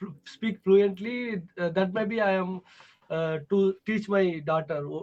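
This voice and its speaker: Speaking very slowly with a Tamil accent, a man uses a high pitch and fairly even intonation. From Tamil Nadu, South India. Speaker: English learner. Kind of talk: online tutoring conversation. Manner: halting, many fillers.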